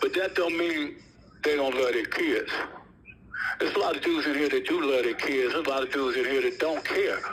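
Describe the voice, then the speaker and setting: Amid noticeable background noise, a man talks at a fairly quick pace with very even loudness and long, frequent pauses. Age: 60s. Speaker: prison inmate, gang founder. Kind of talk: interview.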